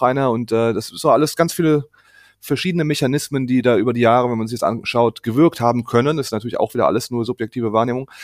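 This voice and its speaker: A man at medium pitch talks at a very fast pace with ordinary pitch variation, recorded with a dry, close sound and no echo. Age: 30s. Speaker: bereaved brother of a suicide victim. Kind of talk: interview testimony. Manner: halting, many fillers.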